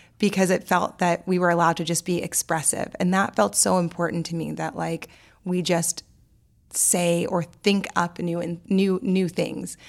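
With an American accent, a woman speaks in a plain, everyday voice at a fairly low pitch, keeping her intonation fairly even at a moderate pace, in a very clean recording with a silent background. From New Orleans, US South. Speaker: poet and author, podcast cohost. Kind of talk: casual interview chat. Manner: conversational with many fillers.

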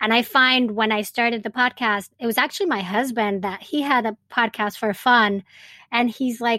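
A woman with a Spanish accent at a high pitch, in a very clean recording with a silent background and a dry, close sound with no echo. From Venezuela. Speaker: birth doula and podcast host. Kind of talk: interview, telling her birth story.

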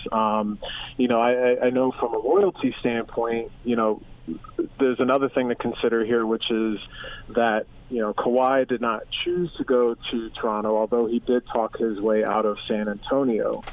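With noticeable background noise behind him, a man in an American accent speaks at a moderate pace and medium pitch, with fairly even intonation and very even loudness. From US Northeast, Philadelphia. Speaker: professor of sports and media. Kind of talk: interview. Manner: hesitant with fillers.

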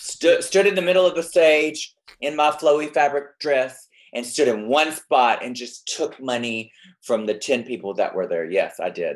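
A man in a Southern US accent talks with lively intonation at a fairly high pitch. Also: moderate pace. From Alabama. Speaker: drag queen guest co-host. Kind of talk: casual chat.

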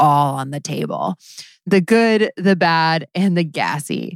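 A woman with a fairly low pitch and an ordinary speaking voice talks at a fairly slow pace. The recording is very clean with a silent background and a dry, close sound with no echo. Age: 30s. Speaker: podcast host and comedy writer. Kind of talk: casual comedic interview.

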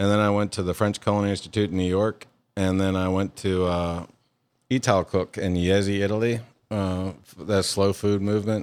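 A flat, monotone voice in a Louisiana accent at a moderate pace, with very even loudness and a very clean recording over a silent background. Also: man, fairly low pitch for a man. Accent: Southern US (Louisiana). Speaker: chef and restaurant owner. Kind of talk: interview.

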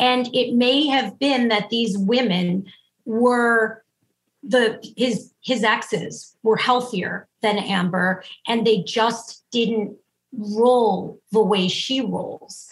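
Very slow, somewhat breathy speech from a woman, fairly high in pitch with fairly even intonation. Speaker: relationship therapist. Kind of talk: interview. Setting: video call.

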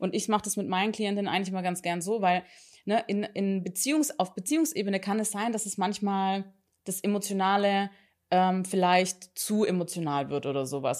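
On a very clean recording against a silent background, this woman has an unremarkable speaking voice, using a medium pitch with ordinary pitch variation at a moderate pace. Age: 30s. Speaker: couples therapist. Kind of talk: casual interview.

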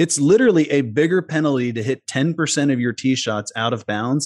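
A man with an unremarkable speaking voice talks fairly quickly, with ordinary pitch variation, over a quiet background. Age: 40s. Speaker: golf strategy coach and former pro golfer. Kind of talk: podcast interview.

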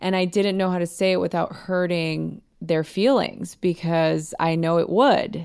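A woman with an unremarkable speaking voice talks at a fairly low pitch with ordinary variation. Her pace is fairly slow, with hardly any pauses. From Los Angeles, US; Mexican American family. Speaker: podcast guest giving wellbeing advice. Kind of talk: casual advice conversation.

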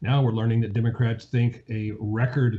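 A man with an American accent speaks at medium pitch in a dark, mellow, somewhat breathy tone with monotone, flat intonation. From US, Virginia. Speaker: financial analyst. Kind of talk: interview.

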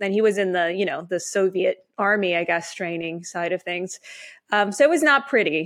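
A woman with a Canadian accent speaks at a moderate pace and medium pitch. She has an ordinary speaking voice with ordinary pitch variation. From Canada. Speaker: author. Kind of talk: interview.

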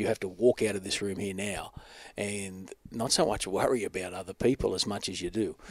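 With an Australian accent, this voice moves at a fairly quick pace with fairly even intonation, and the sound is dry and close with no echo. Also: man, fairly low pitch for a man. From Australia (Newcastle, NSW; high school in Adelaide). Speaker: event host and speaker coordinator. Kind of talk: casual interview.

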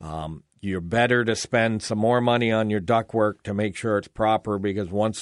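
The sound is dry and close, with no echo and a quiet background. A man speaks at a moderate pace. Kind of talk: radio dj patter: upbeat call-in show host plugging phone numbers, giveaways and sign-offs. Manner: friendly, chatty and fluent, with frequent 'uh' fillers and repeated promos; joking, easy banter with his co-host.

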